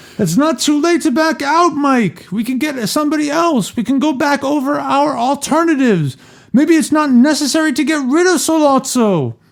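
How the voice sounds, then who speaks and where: Moderate tempo in a man's put-on character voice, pitched extremely high. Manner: gentle, soft.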